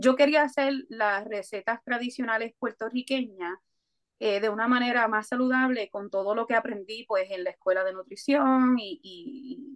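A woman speaks at a moderate pace. Her pitch is fairly high, with ordinary pitch variation. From Puerto Rico (Coamo). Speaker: food entrepreneur. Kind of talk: interview. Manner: hesitant fillers.

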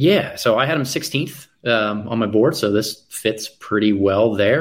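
In an ordinary speaking voice, a man talks at a fairly low pitch with fairly even intonation. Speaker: basketball draft analyst. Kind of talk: casual live draft commentary.

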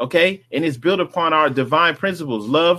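The voice has a bright, sharp tone. It speaks with an American accent. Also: man. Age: 40s. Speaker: religious livestream host. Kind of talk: livestream talk on religious movement. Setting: live stream with chat. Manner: casual, repetitive filler.

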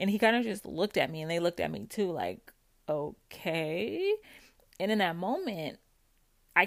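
A normal speaking voice from a woman, fairly low in pitch, at a moderate pace, on a very clean recording with a silent background. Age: 30s. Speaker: podcast host sharing recovery from narcissistic abuse. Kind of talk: personal monologue, supportive self-help talk. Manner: casual, conversational with frequent laughs.

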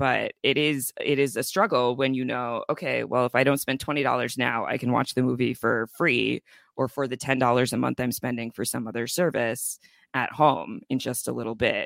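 In a very clean recording with a silent background and a dry, close sound without echo, a man at medium pitch speaks with vocal fry and fairly even intonation. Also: moderate pace. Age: 30s. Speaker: labor organizer. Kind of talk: casual chat.

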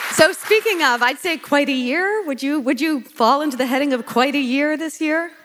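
With noticeable background noise behind her, a woman talks at a moderate pace in a high voice, her pitch varying in an ordinary way and hardly any pauses breaking her speech. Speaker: podcast host and event producer. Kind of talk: interview, introductions.

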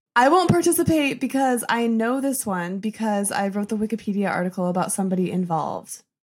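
On a very clean recording with a silent background, a woman with an American accent speaks at a fairly high pitch and a fairly quick pace, with lively intonation and hardly any pauses. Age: 20s. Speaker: social media creator. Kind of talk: casual chat.

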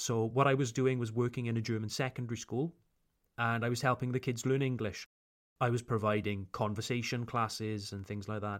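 In a Welsh accent, a man speaks at medium pitch and a fairly quick pace with ordinary pitch variation, in a very clean recording with a silent background. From South Wales, Pontypool. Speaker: English teacher. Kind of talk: casual autobiographical talk. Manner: natural pace, unedited everyday speech.

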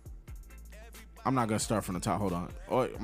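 Reading in an unforced voice

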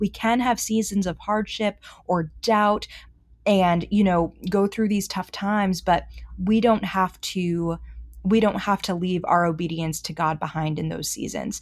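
In a plain, everyday voice, a woman with an American accent speaks fairly slowly at medium pitch with fairly even intonation, on a very clean recording with a silent background. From Boston. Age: 20s. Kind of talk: casual chat.

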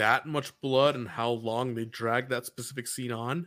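A man speaks in a normal speaking voice at medium pitch with fairly even intonation. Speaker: podcast co-host. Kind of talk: casual recap chat. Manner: jokey, casual.

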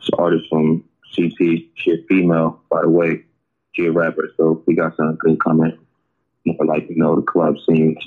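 With long, frequent pauses, a man speaks in a very deep, low pitch and a monotone, flat intonation. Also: moderate pace, very even loudness. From Springfield, Massachusetts. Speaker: rapper. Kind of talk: casual interview. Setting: podcast interview.

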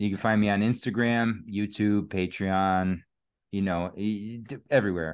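The intonation stays fairly even at a moderate pace. The background is quiet. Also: man. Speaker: podcast host. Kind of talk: casual chat.

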